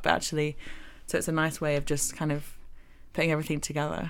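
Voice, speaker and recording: A woman speaks at a very fast pace with a very deep, low pitch and monotone, flat intonation. Audible room echo is present. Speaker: architecture graduate. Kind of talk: casual chat. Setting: studio.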